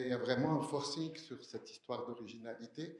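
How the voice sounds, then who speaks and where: The speech moves at a moderate pace with fairly even intonation, and audible echo fills the room. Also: man. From Algeria, Algiers. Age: 60s. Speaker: audience member asking a question. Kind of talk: audience question at conference.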